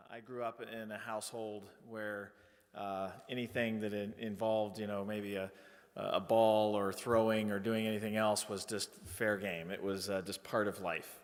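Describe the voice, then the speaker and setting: A man's fairly low, flat, monotone voice at a moderate pace, with audible room echo. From Indiana, near Kokomo. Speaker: college president. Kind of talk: ceremony speech. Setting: stage with audience. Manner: hesitant, many fillers.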